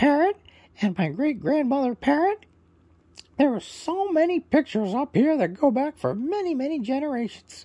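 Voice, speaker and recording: Someone puts on a high-pitched character voice at a moderate pace. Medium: read story. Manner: warm, welcoming.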